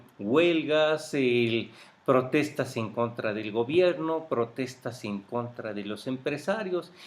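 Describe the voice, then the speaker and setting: The delivery comes at a very slow pace. Its intonation is lively. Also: man. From Mexico, grew up in Mexico City. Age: 50s. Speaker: interviewee recounting life history. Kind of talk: oral history interview. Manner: hesitant, with fillers.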